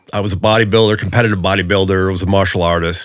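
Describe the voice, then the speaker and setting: Speaking with fairly even intonation, a man talks in an American accent. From California, US (Visalia). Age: 60s. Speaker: retired police officer and gang investigator. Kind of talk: casual interview conversation.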